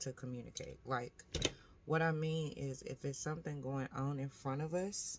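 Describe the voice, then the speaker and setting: A soft-spoken woman talks in a very deep, low voice. Her pace is moderate and her intonation fairly even. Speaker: vlogger. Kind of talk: casual vlog monologue. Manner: quiet, soft-spoken.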